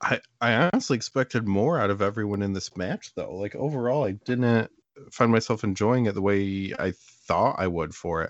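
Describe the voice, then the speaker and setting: This is a man with a fairly low pitch and ordinary pitch variation. He has an unremarkable speaking voice. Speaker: podcast co-host. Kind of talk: casual comedic banter podcast. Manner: sarcastic, quick-witted.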